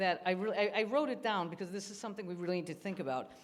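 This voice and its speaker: This woman's voice sits at a medium pitch. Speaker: nonprofit executive. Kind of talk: panel discussion. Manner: loud.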